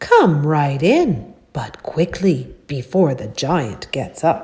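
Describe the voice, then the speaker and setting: A booming put-on character voice at a middle pitch and a very slow pace. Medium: read story.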